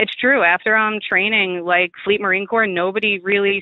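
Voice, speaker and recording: A woman with a Long Island accent talks at a fairly quick pace with fairly even intonation. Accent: Long Island, New York. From Stony Brook, New York. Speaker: Marine Corps veteran, former intelligence linguist. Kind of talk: oral history interview answer.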